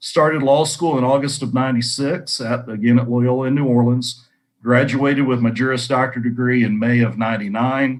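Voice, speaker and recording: A man with a Texan accent speaks at medium pitch and a fairly quick pace, with fairly even intonation. The recording is very clean, with a silent background. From North Central Texas. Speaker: lawyer. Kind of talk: career talk to students. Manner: hesitant, many fillers.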